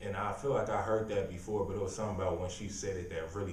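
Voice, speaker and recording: Room echo is audible in this clip. There is noticeable background noise too. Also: man. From San Francisco Bay Area, California. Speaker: poet and MC. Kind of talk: casual chat. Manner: monotone.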